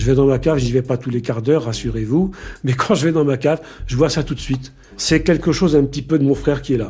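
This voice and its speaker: A very fast, somewhat breathy male voice, fairly high in pitch, with a dark, mellow tone and ordinary pitch variation. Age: 70s. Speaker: retired doctor, victim's brother. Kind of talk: testimony. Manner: hesitant.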